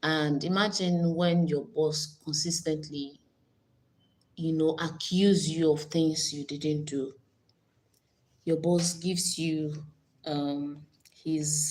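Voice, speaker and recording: A woman's very deep, low-pitched, somewhat breathy voice at a very slow pace. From Nigeria. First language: Nigerian language (not English). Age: 40s. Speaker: YouTuber. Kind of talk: casual live stream chat. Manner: animated.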